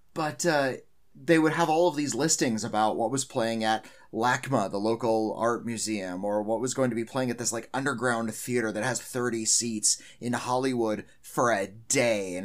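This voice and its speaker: A man talks at a moderate pace in an ordinary speaking voice, medium in pitch with ordinary variation. The recording is very clean with a silent background. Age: 40s. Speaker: film critic. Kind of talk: casual chat.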